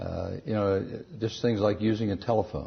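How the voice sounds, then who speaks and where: A man speaks in a somewhat breathy voice. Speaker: astronaut and former senator. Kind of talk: interview answer.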